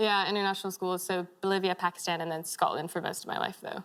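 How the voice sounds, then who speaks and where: With an American accent, a woman speaks very fast in a monotone, flat intonation. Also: medium pitch for a woman. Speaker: interviewee.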